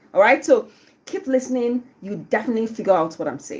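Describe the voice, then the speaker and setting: A woman's fairly high voice with very wide pitch swings over noticeable background noise. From Nigeria, Southeast (Igbo). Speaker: radio host. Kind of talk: live radio show talk. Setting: radio studio, live on YouTube. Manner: casual, chatty with fillers.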